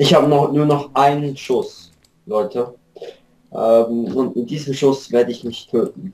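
A man with an ordinary speaking voice, fairly high in pitch, at a fairly slow pace. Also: ordinary pitch variation. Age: 20s. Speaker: gaming YouTuber. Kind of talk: let's play commentary. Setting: Skype call.

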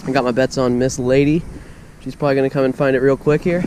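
A man speaks at a very fast pace. The sound is dry with no echo, over light background noise. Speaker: fishing vlogger. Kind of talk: casual vlog chat. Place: waterside. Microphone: camera far.

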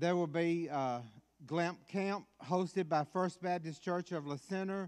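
Against a quiet background, a man with a high pitch talks at a fairly slow pace using fairly even intonation. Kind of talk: church announcements. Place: church. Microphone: podium.

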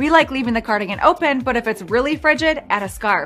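Faint music plays in the background as the speaker talks at a fairly quick pace. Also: woman. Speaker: fashion video host. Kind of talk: presenter script. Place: studio.

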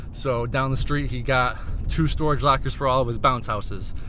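Talking at a very fast pace with fairly even intonation, a man comes across in a dry recording with no echo and light background noise. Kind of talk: casual vlog chat. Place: car. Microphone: phone near.

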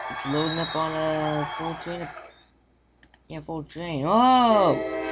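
With music playing underneath, the words come at a very slow pace. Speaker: gaming let's play commentator. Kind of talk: casual gameplay commentary.

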